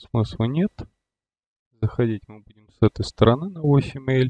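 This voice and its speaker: The sound is dry and close with no echo as a man speaks at a moderate pace in a dark, mellow tone with ordinary pitch variation. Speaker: flight simulator gamer and video creator. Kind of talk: casual gameplay walkthrough with tutorial explanations. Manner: loose, rambling narration full of fillers like вот and ну; self-correcting, mildly exasperated asides at mistakes.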